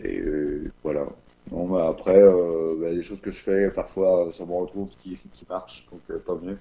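Very deep and low, a man's voice moves at a very slow pace in a monotone, flat intonation. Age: 20s. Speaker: interviewee sharing personal testimony. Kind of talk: testimony. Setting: remote recording. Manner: halting, many hesitations. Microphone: no microphone, average sound quality.

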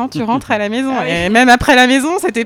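A woman with a high pitch at a moderate pace, with noticeable background noise. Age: 20s. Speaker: mother sharing experience. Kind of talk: casual chat.

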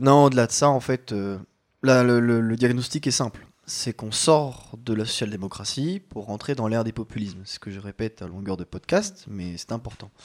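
A man with an unremarkable speaking voice at a medium pitch and moderate pace, with ordinary pitch variation and big swings in loudness, in a very clean, dry, close recording with no echo and a silent background. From France, Chalon-sur-Saône. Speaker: podcast co-host. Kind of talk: casual chat.

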